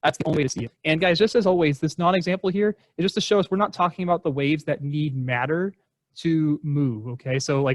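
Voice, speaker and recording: A man talks at a very fast pace with ordinary pitch variation, in a dry, close sound with no echo. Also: fairly high pitch for a man. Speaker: middle school science teacher. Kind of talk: recorded lesson for students. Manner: casual, with many filler ums.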